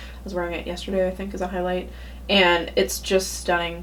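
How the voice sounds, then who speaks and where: A woman talks while noticeable noise carries on in the background. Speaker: beauty vlogger. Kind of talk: product review monologue.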